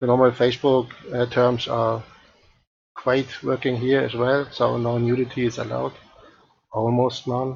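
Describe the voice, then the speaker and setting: A man speaks at a moderate pace in a somewhat breathy, monotone voice with flat intonation. Long, frequent pauses break up his speech over light background noise. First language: not English. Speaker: 3D art tutor streamer; live streamer doing a software demo. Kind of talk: live-stream tutorial; tutorial. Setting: live stream. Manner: halting, many fillers. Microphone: headset.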